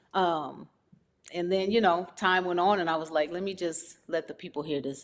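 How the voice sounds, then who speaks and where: In an American accent, a woman speaks in a plain, everyday voice, fairly low in pitch, at a moderate pace with ordinary pitch variation. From US West Coast, Los Angeles (South Central, Watts). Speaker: R&B singer-songwriter. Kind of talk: interview.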